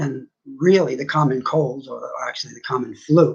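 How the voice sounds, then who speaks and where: A man speaks at a fairly slow pace with fairly even intonation. His voice is somewhat breathy. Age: 60s. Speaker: vlogger sharing personal views. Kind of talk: personal monologue.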